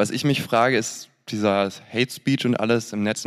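A man talks at a moderate pace with a fairly low pitch. The recording is very clean, with a silent background. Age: 20s. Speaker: audience member. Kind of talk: audience question. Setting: stage with audience.

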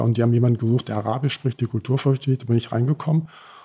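The tone is dark and mellow, and somewhat breathy. Intonation stays fairly even. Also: man. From Sudan and Germany (from age 11). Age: 50s. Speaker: fuel station company owner. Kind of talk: interview.

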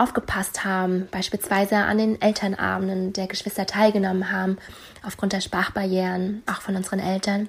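At a moderate speed, the speaker talks with a somewhat breathy voice. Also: woman. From Rostock, eastern Germany. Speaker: listener sending voice message. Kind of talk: recorded voice message.

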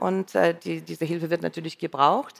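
A woman speaks with a Russian accent in a fairly low voice. The recording is very clean, with a silent background. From Russia, St. Petersburg. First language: Russian (speaking German). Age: 50s. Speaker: radio editor-in-chief. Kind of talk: live stage conversation. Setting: stage with audience.

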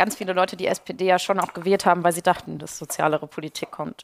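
A woman rattles along at a very fast pace. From Ruhr area, Germany. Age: 20s. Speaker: youth party spokesperson. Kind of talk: casual chat while cooking.

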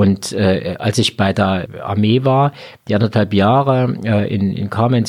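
A man talks at a fairly low pitch with ordinary pitch variation. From Thuringia, Erfurt area (rural). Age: 50s. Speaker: hospitality association head, former innkeeper and chef. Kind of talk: interview. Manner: hesitant, many fillers.

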